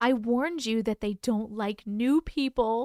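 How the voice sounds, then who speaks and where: A woman's robotic, put-on character voice at a fairly high pitch and moderate pace. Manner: flat, emotionless, warning.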